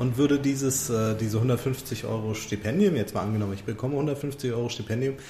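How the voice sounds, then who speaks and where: Lively intonation comes at a fairly quick pace over noticeable background noise. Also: man. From Hamburg. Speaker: podcast co-host. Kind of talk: interview. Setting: staff break room at the school.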